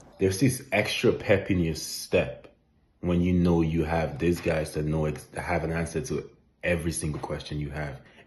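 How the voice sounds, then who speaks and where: A man with a very deep, low voice, somewhat breathy, speaks at a moderate pace with ordinary pitch variation. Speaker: real estate investor. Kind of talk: testimony.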